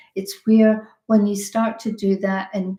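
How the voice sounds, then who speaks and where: A woman's medium-pitched, somewhat breathy voice with a dark, mellow tone, monotone, flat intonation and a very slow pace. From Scotland. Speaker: health and business coach. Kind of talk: webinar presentation. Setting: online webinar. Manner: hesitant, many fillers and repeated words.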